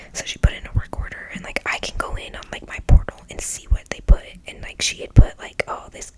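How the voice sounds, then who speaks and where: A woman whispers at a fairly quick pace. Noticeable background noise runs behind her. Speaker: ASMR content creator. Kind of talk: casual storytelling about a landlord dispute. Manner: animated, conversational, frustrated.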